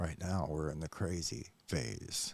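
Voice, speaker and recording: With an American accent, a man speaks in a very deep, low pitch with vocal fry. His pace is very slow. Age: 60s. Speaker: YouTube commentator. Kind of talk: reaction commentary monologue. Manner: hesitant, many fillers.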